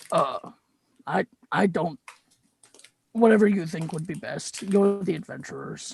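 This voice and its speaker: A raspy put-on character voice sits at a middle pitch and moves at a moderate pace. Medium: actual play. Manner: hesitant, humble.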